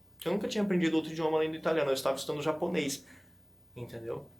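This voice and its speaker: Audible room echo surrounds a man's voice. His pitch is high, with ordinary variation. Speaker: language-learning YouTuber. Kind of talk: tutorial. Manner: fast; casual, conversational.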